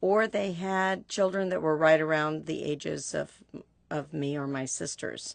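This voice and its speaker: Against a quiet background, a woman talks at a fairly slow pace in an American accent. Her pitch is very deep and low. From US Pacific Northwest, Yakima, Washington. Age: 60s. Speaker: interviewee. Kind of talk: oral history interview.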